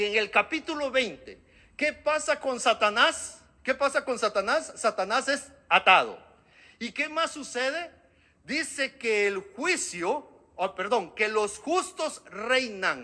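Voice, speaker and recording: Extremely high for a man, a raised, projected voice with a bright, sharp tone, lively intonation and a very slow pace. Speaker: preacher. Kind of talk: sermon.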